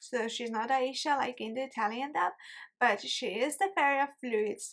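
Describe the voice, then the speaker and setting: Here a woman speaks with an Estonian accent. Her pitch is high. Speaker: YouTuber. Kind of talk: casual commentary video.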